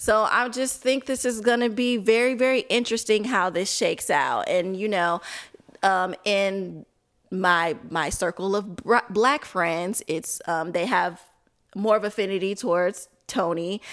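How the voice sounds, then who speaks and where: A woman in a plain, everyday voice with an American accent, medium pitch, ordinary pitch variation and a fairly slow pace, on a very clean recording with a silent background. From Chicago area. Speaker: media co-founder. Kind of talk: casual chat.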